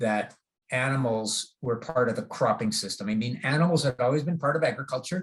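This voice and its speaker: A man speaks in a somewhat breathy, fairly high voice. His pitch swings very widely. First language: German. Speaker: agronomy professor. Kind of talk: lecture. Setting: video call. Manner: halting, many fillers.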